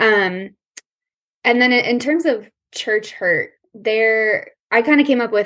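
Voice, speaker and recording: In a General American accent, a woman talks at a very slow pace with lively intonation. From Colorado. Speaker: counseling student. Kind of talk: interview conversation.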